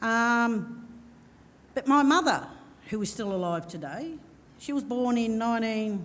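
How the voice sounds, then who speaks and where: Fairly high-pitched woman with an Australian accent, lively intonation, a fairly slow pace, long and frequent pauses, and audible room echo. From Victoria, Australia. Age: 50s. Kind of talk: panel discussion. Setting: stage with audience. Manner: halting.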